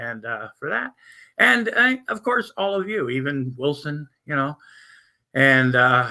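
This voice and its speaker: A man speaks with a fairly high pitch and a bright, sharp tone. The recording is very clean, with a silent background. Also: lively intonation. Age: 60s. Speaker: livestream host. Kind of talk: casual chat. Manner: rambling with frequent fillers and repetitions.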